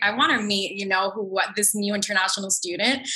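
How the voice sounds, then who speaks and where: Noticeable background noise sits under this recording. A woman with a Canadian accent talks at a fairly quick pace. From Canada. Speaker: podcast co-host. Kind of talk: casual chat.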